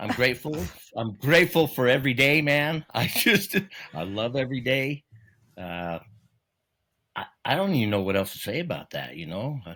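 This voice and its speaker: A man speaks in a bright, sharp tone with vocal fry, very wide pitch swings and big swings in loudness. He leaves long, frequent pauses, and the recording is very clean with a silent background. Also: medium pitch for a man, moderate pace. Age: 60s. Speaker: truck driver and horse rider. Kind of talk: casual chat. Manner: halting.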